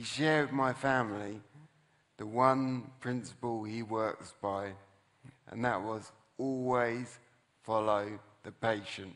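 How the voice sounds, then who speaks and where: Amid audible room echo, a man speaks very slowly at a medium pitch with fairly even intonation and long, frequent pauses. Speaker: motivational speaker, brain injury survivor. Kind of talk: inspirational talk on stage. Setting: stage with audience.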